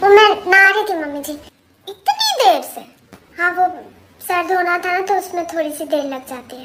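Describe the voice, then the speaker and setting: A cartoonish character voice squeaks at an extremely high pitch and a fairly quick pace. Long, frequent pauses break it up. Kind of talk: comic overacting. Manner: comic domestic bickering.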